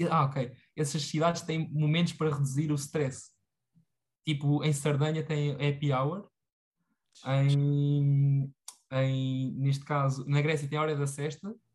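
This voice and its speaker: Against a quiet background, a man with a fairly high pitch and a somewhat breathy voice speaks at a very slow pace in a monotone, flat way, leaving long, frequent pauses. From Portugal, Tomar (central Portugal). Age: 20s. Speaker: former student and personal development enthusiast. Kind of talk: casual chat. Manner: halting, many fillers and repetitions.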